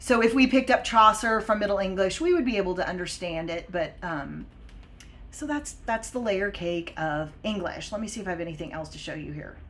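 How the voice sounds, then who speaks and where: The speech comes at a fairly quick pace with lively intonation and big swings in loudness. Noticeable background noise sits behind it. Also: woman, medium pitch for a woman. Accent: American. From Oklahoma and Texas, US. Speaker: English language teacher. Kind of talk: live-stream lesson. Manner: casual, many fillers (um, uh, like).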